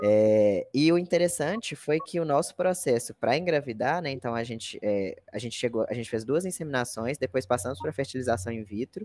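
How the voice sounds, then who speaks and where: In an unremarkable speaking voice of medium pitch, a man talks at a fairly quick pace with lively intonation. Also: hardly any pauses. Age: 20s. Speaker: content analyst, former teacher. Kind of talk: interview.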